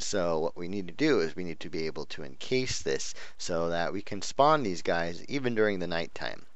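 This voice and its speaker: Audible room echo surrounds a man speaking at a moderate pace in a very deep, low pitch. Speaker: gaming youtuber. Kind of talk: gameplay commentary. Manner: hesitant, many fillers.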